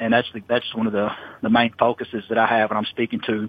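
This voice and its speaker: This man speaks with an American accent at medium pitch. His pace is fairly quick. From US Midwest, southeast Missouri. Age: 40s. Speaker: motivational speaker. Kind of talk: interview.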